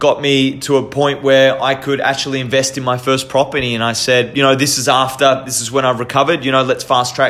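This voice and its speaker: With music in the background, a man with an Australian accent speaks at medium pitch and a moderate pace in a flat, monotone way. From Australia, Victoria (Queenscliff, Melbourne). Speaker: podcast host. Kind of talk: personal storytelling monologue. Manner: halting, many fillers and repetitions.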